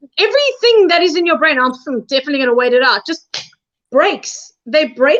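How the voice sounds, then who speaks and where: Her pitch swings very widely as the woman talks. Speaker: reality show contestant. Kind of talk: casual chat. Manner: loud.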